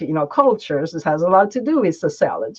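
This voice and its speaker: A woman with an Italian accent. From Italy, Gaeta. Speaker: interpreter and translator. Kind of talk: interview.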